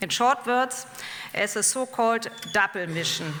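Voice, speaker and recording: A woman with a German accent, speaking at a fairly slow pace with lively intonation, over noticeable background noise. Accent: non-native English, German. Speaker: professor. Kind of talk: lecture. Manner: slow and deliberate; halting.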